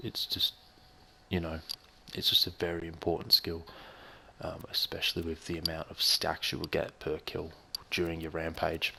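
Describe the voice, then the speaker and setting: In an Australian accent, a man talks quietly at a moderate pace, leaving long, frequent pauses. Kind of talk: gaming commentary. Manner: casual, swearing; quiet, low volume.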